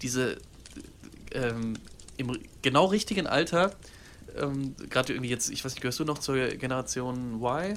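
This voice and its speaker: Lively in intonation, a man talks at a fairly quick pace with a fairly high pitch. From Germany, Cologne. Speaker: podcast co-host. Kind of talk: casual chat.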